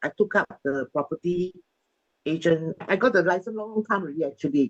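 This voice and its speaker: In a dry, close sound with no echo, a woman uses an ordinary speaking voice at a medium pitch. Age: 60s. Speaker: bank worker and property agent. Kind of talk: casual interview.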